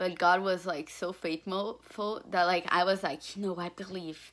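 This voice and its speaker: In a Portuguese accent, a woman speaks with a fairly low pitch and fairly even intonation. The recording is very clean, with a silent background. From Brazil. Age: young. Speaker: student applicant. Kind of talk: application video testimony. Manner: filler-heavy, informal.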